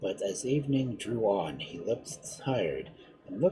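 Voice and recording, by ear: With lively intonation, a passage is read aloud in a natural voice.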